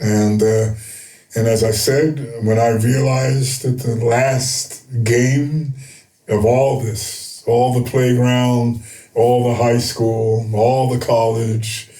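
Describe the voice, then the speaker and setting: Amid noticeable background noise and audible room echo, a man at medium pitch talks very slowly in a monotone, flat intonation with very even loudness. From United States. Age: 70s. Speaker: retired basketball coach. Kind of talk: interview. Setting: studio. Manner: halting, many fillers.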